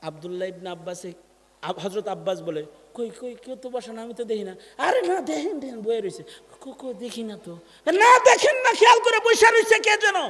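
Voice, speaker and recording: A man's voice rises and falls sharply in loudness over noticeable background noise. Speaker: Islamic preacher delivering a waz sermon. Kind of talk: Bangla Islamic waz sermon.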